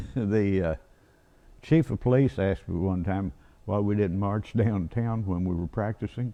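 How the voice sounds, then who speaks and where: A man with an Arkansas accent at a moderate pace, with ordinary pitch variation. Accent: Southern US (Arkansas). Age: 80s+. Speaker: retired band director and drummer. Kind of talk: casual chat.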